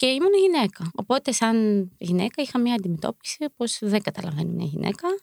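Her voice is fairly high for a woman and moves through very wide pitch swings. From Ukraine, moved to Greece at 11. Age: 20s. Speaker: member of a Ukrainian women's community. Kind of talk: interview.

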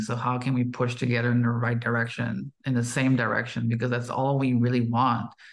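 An unremarkable speaking voice from a man of medium pitch at a moderate pace. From Quebec, Canada. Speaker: podcast host. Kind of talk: podcast conversation.

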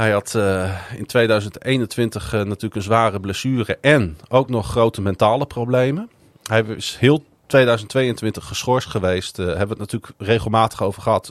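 This man has an unremarkable speaking voice at medium pitch, with ordinary pitch variation, a moderate pace, and a dry, close sound with no echo. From Netherlands, Groningen. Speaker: podcast host. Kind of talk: casual chat.

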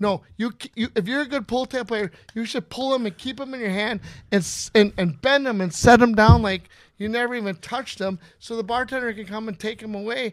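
A man with an Upper Midwest accent and a high pitch, in a very clean recording with a silent background. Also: ordinary pitch variation, fairly quick pace. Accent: Upper Midwest (Minnesota). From Minnesota, Inver Grove Heights. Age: 50s. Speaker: pull tab player. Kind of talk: casual chat. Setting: studio.

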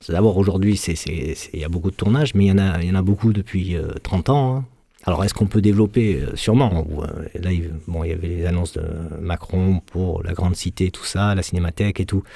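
A man talks at a fairly quick pace with a very deep, low pitch. His tone is dark and mellow, with ordinary pitch variation. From Marseille, southern France. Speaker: film sound engineer. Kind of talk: interview.

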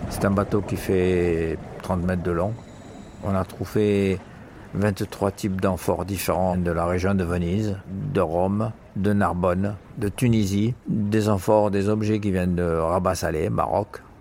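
A man's very deep, low voice at a very slow pace, with very even loudness, fairly even intonation and music in the background. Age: 70s. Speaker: underwater archaeology diver and instructor. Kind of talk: interview testimony.

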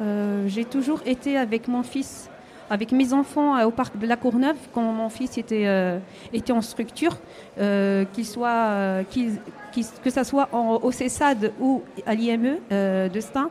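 Her pace is very slow. This woman has a fairly high pitch and ordinary pitch variation. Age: 40s. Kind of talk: radio interview. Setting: live broadcast at a covered market. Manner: halting.

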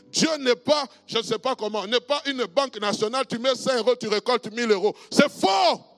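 A man's extremely high voice at a moderate pace, ordinary pitch variation, dry and close with no echo, with music in the background. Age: 50s. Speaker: pastor. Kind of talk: sermon.

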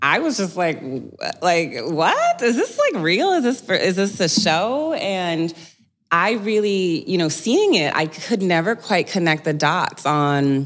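This is a normal speaking voice with lively intonation and very even loudness. The pace is fairly slow. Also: woman, medium pitch for a woman. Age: 30s. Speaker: spiritual teacher and breathwork facilitator. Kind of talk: casual chat.

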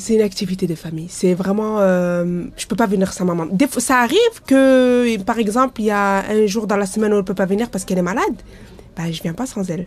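A woman talks at a medium pitch. Her pace is very fast. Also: ordinary pitch variation. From Lyon area, France. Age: 40s. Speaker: bathhouse user. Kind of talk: interview testimony. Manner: halting, many fillers.

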